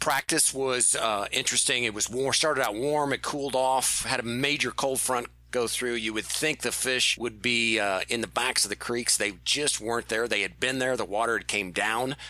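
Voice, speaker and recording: Against noticeable background noise, a man of medium pitch speaks at a moderate pace with hardly any pauses, fairly even intonation and very even loudness. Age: 40s. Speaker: fishing podcast co-host. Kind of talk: casual chat.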